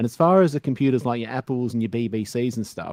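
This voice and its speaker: A man's medium-pitched, dark and mellow voice with an Australian accent, very fast, ordinary in pitch variation, in a dry, close sound with no echo. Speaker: retro computer enthusiast. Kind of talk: casual panel chat.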